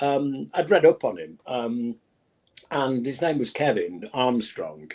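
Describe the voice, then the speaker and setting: A man with a Manchester accent. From northern England, Manchester. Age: 70s. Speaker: music executive. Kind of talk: casual interview. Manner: halting, repeats words.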